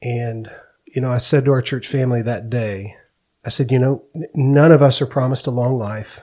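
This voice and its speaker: Dark and mellow in tone, a man speaks at a medium pitch. His pace is moderate and his intonation fairly even. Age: 40s. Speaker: pastor. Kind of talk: testimony. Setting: studio.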